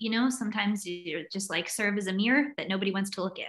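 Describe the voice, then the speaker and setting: A woman with a slight Southern US accent speaks at a very fast pace, her medium pitch showing ordinary variation. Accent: American, light Southern. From US South (North Carolina and Virginia). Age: 30s. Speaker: writer and recovery advocate. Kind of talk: personal testimony in interview.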